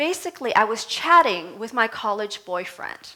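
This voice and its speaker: Amid noticeable background noise, a woman speaks very slowly with a high pitch. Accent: Vietnamese. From Vietnam, raised in US. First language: Vietnamese. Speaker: minister. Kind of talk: sermon. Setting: church service.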